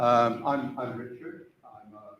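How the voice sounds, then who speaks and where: A man's voice, pitched in the middle range, carries audible echo from the room. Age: 70s. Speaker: club volunteer and veteran. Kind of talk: conference talk. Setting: stage with audience. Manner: halting.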